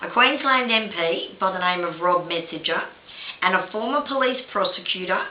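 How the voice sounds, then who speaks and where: A woman with an Australian accent speaks at a moderate pace and medium pitch, with ordinary pitch variation, audible room echo and noticeable background noise. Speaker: video blogger and victims' rights advocate. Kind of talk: opinion monologue to camera. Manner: impassioned.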